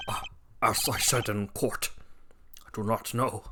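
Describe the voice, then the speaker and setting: In a put-on character voice, a woman speaks at a moderate pace with a very deep, low pitch against clear background noise. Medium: fan dub. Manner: hesitant, nervous.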